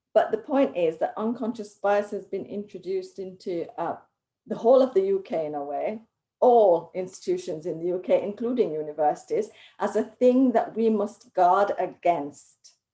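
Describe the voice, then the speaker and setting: Lively intonation marks this woman's speech. Her tone is dark and mellow. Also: medium pitch for a woman, moderate pace. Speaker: academic panelist. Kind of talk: panel discussion.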